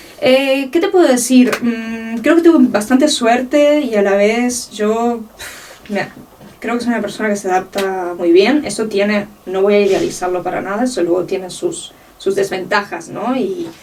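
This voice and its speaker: Against noticeable background noise, a woman with a fairly high pitch speaks at a fairly slow pace with lively intonation. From Uruguay (Montevideo), moved to Catalonia as a teen. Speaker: art researcher and curator. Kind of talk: interview.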